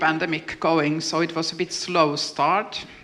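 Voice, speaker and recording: Noticeable background noise accompanies a woman at a fairly slow pace. Her pitch is fairly low. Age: 50s. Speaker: panel moderator, artist. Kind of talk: panel discussion. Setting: stage with audience.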